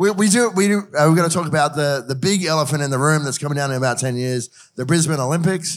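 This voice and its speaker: A man with an Australian accent talks at a very fast pace. His pitch is fairly high, with ordinary variation. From Queensland. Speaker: podcast host and drinks journalist. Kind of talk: panel moderation.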